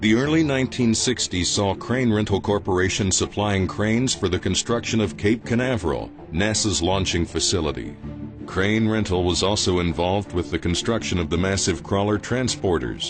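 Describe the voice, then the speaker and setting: Over music in the background, the speaker uses lively intonation at a moderate pace with very even loudness. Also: man. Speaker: voice actor. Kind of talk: corporate narration.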